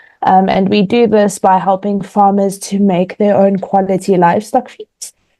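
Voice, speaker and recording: Her voice has a dark, mellow tone at medium pitch, and the woman speaks at a moderate pace with fairly even intonation. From South Africa. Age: 20s. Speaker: agricultural economist. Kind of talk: panel introduction.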